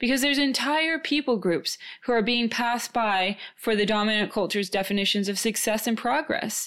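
A woman with an American accent uses a normal speaking voice, fairly high in pitch, with ordinary pitch variation and a fairly quick pace. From born in New Zealand, raised in Minnesota and Tajikistan. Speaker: podcast co-host and guest being interviewed. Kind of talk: casual interview conversation.

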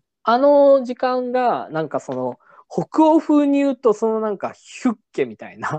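Against a quiet background, a man delivers his words at a fairly slow pace. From Japan, Nagasaki. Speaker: podcast host. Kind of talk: casual chat. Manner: halting, many fillers.

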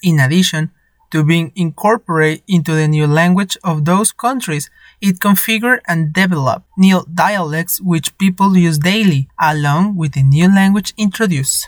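Someone with a Spanish accent speaks at a moderate pace. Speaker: podcast host practicing English. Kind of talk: scripted narration.

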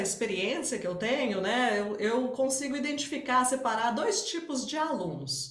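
A woman with a high pitch and lively intonation is heard amid noticeable background noise and audible room echo. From Minas Gerais, Brazil (Barbacena). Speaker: English teacher. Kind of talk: interview.

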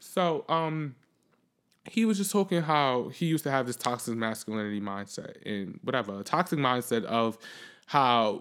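A medium-pitched man is heard in a very clean recording against a silent background. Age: 20s. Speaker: podcast host. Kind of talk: casual monologue. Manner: fast, rambling with repetitions.

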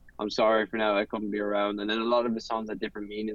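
A man with an Irish accent at a very fast pace. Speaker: singer-songwriter. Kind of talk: interview. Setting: video call from a parked car. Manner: laughs often.

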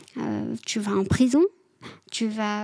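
A woman is speaking. Her pitch sits fairly high. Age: 20s. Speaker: social worker with offenders. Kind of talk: personal testimony interview. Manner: halting, many hesitations.

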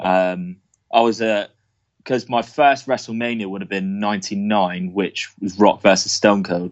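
Speaking with an English accent, a man keeps a fairly slow pace and fairly even intonation. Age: 20s. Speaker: wrestling fan guest. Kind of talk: casual chat.

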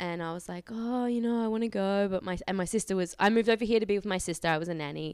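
A woman with an Australian accent speaks with ordinary pitch variation on a very clean recording with a silent background. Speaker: model booker. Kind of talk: casual interview. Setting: in person, downtown.

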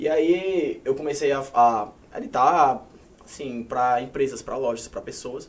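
Here a man with an unremarkable speaking voice talks fairly slowly at a fairly high pitch, with ordinary pitch variation and big swings in loudness. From Paraíba, Brazil. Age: 20s. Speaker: social media influencer. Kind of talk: casual chat.

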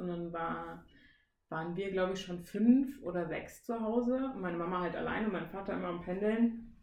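Audible room echo surrounds a woman speaking at a fairly quick pace. Her pitch is fairly low, with ordinary pitch variation. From Siegen, western Germany. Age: 20s. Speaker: trainee teacher, podcast co-host. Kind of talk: casual chat.

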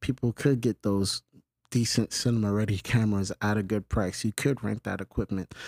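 A man with a New York accent speaks at a medium pitch. The recording is very clean, with a silent background. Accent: New York City. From New York City, the Bronx (Longwood). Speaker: filmmaker and production company owner. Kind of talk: interview.

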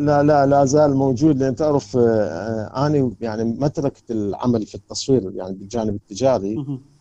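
At a moderate pace and with hardly any pauses, a man with a medium pitch and a dark, mellow tone speaks with ordinary pitch variation. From Iraq, Karbala. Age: 60s. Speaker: photographer, photography society president. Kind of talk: interview. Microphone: choppy audio connection.

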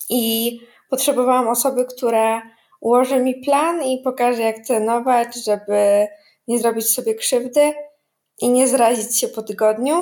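Speaking fairly slowly, a woman keeps her high voice at a fairly even intonation. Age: 20s. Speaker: tax lawyer, trainee advocate, coaching client. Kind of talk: interview. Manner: hesitant with fillers and repetitions.

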